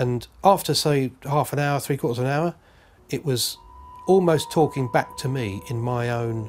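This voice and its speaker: Somewhat breathy and with a London accent, a man speaks at a moderate pace and medium pitch, his intonation lively. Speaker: UFO witness. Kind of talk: testimony. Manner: halting.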